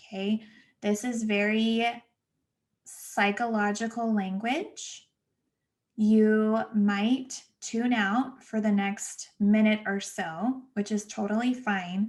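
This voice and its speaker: A somewhat breathy woman with an American accent, fairly high in pitch, at a very slow pace and in a monotone, flat intonation. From Los Angeles, US West Coast. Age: 30s. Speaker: podcast host, therapist. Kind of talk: solo podcast monologue. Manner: casual, chatty.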